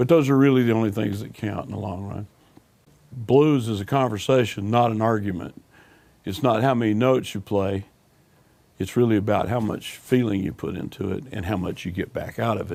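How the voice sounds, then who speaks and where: With a Southern US accent, a man talks in a fairly low pitch and dark, mellow tone, his pitch varying in an ordinary way. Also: fairly quick pace. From US South, Alabama. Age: 60s. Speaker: blues musician. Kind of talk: interview.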